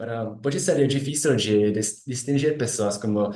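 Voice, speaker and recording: Audible room echo surrounds a man speaking in a Czech accent at a moderate pace. His pitch is medium with ordinary variation. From Czech Republic. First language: Czech (speaking Portuguese). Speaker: philosophy doctoral student. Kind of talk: academic presentation. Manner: halting, many self-corrections.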